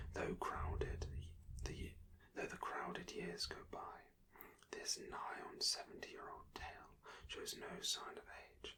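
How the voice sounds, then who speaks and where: A man whispers fairly slowly, leaving long, frequent pauses. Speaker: ASMR creator reading a book aloud. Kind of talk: whispered audiobook-style reading. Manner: whispered, slow, soft-spoken.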